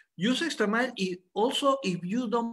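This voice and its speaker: A man speaks with a Spanish accent at a fairly slow pace. His intonation is lively. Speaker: biologist, head of a company's science department. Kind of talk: product presentation. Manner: halting.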